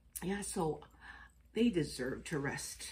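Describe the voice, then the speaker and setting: A woman speaks at a very slow pace. Room echo is audible around her voice. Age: 60s. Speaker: astrology and chakra vlogger. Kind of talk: casual vlog monologue. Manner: chatty, conversational.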